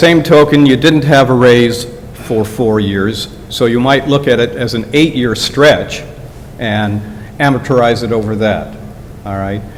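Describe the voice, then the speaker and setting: A man speaks at a fairly slow pace with a medium pitch and ordinary pitch variation. Noticeable background noise and audible room echo surround his voice. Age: 70s. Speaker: public commenter at township meeting. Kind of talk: public comment at meeting. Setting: township board meeting.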